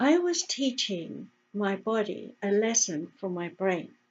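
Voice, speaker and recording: A woman with an English accent speaks very slowly at a medium pitch. Her voice is somewhat breathy, with lively intonation. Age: 70s. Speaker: health educator and radio host. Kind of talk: casual talk to camera. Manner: animated.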